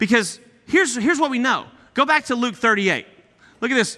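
Using a raised, projected voice, a man with an American accent sounds animated, his bright, sharp tone rising and falling with lively intonation. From East Texas (Nacogdoches). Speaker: guest preacher. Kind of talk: sermon.

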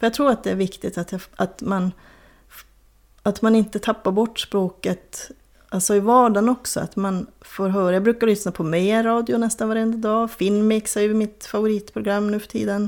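A woman speaks at a moderate pace and medium pitch in a normal speaking voice. The recording is very clean, with a silent background. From northern Sweden, Kiruna area (Soppero, Lannavaara). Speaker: crime novelist. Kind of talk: interview.

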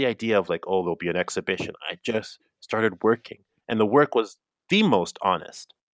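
Heard as a dry, close sound with no echo, a man with an unremarkable speaking voice talks at a fairly quick pace and a medium pitch with lively intonation. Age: 40s. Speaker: multidisciplinary artist. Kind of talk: casual chat. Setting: remote call.

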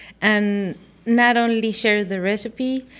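This woman talks very slowly. She has a Spanish accent. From Mexico, Guadalajara, Jalisco. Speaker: food blogger, recipe developer. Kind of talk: radio interview. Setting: radio studio.

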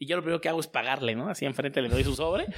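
Speaking with a Mexico City accent, a man uses lively intonation. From Mexico City (Azcapotzalco). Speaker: merchandise and poster entrepreneur. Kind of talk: interview. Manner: casual, slangy.

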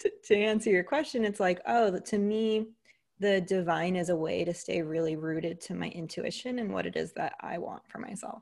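In an American accent, a woman uses a normal speaking voice at a moderate pace and medium pitch, with ordinary pitch variation against a quiet background. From US, Greek American family. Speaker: leadership coach. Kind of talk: interview conversation.

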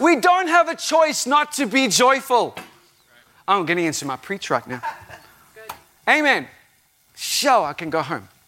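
A man's raised, projected voice at an extremely high pitch, animated in tone, with very wide pitch swings, big swings in loudness, and long, frequent pauses. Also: moderate pace. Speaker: visiting preacher. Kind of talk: sermon. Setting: church with live congregation.

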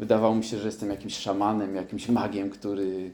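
This man's voice sits at a fairly low pitch, with a dark, mellow tone and monotone, flat intonation. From southern Poland. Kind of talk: testimony. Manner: halting, hesitant with many repetitions.

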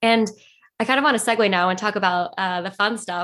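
A woman speaks at a fairly quick pace and medium pitch, in a normal speaking voice. The recording is very clean, with a silent background. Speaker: podcast co-host. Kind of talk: interview.

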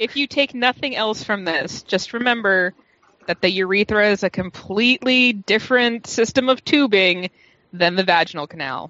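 A woman talks at a moderate pace in a normal speaking voice. Her medium pitch carries lively intonation. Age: 30s. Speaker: podcast panelist. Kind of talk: casual chat.

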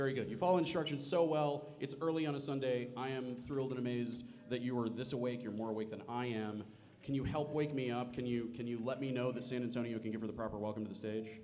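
Very fast pace from a medium-pitched man, ordinary pitch variation, noticeable background noise behind him. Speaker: panel moderator. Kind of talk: live convention panel with audience. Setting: stage with audience. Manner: animated, joking.

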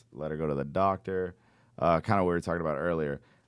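In a very clean recording with a silent background, a man with a very deep, low pitch speaks with ordinary pitch variation. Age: 30s. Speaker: podcast host. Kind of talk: casual chat. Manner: animated.

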